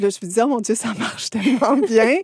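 In a dry, close sound with no echo, a woman speaks with ordinary pitch variation. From rural Quebec, Montérégie. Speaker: animation filmmaker. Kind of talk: casual interview.

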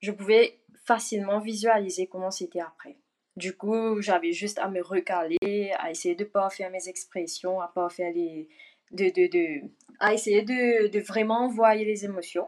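Using an unremarkable speaking voice, a woman talks at a fairly slow pace with a medium pitch and ordinary pitch variation. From Mauritius. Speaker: actress. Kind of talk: casual interview. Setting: video call from Mauritius. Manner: mixes English words into French.

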